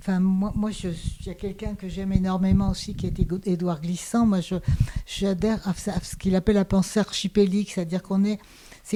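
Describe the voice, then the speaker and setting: A woman at a medium pitch with fairly even intonation. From Hungary, raised in France. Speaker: sociologist and philosopher. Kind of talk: small-group discussion. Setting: small in-person gathering. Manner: halting, many repetitions.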